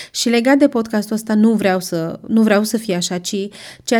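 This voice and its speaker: In a very clean recording with a silent background, a woman talks in a dark, mellow tone with fairly even intonation. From Romania, Brașov. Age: 20s. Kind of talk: casual monologue.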